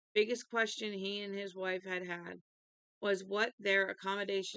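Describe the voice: Plain reading aloud plays out against a quiet background.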